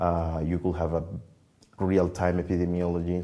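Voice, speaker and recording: A man with a Spanish accent speaks at a moderate pace, his very deep, low pitch carrying a dark, mellow tone. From Venezuela, Merida (Andes); Venezuela. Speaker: computational biologist; interviewee. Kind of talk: interview. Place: office. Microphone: lapel.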